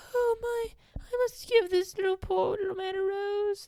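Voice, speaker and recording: At a moderate pace, this put-on character voice comes out extremely high in pitch. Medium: solo performance. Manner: earnest, romantic.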